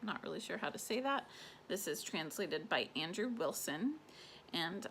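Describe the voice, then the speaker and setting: Her tone bright and sharp, a woman speaks at medium pitch with very wide pitch swings. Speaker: book reviewer. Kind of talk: casual talk to camera.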